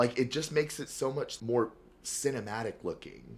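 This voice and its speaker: This is a man's voice. It carries vocal fry. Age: 20s. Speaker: podcast host. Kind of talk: casual chat.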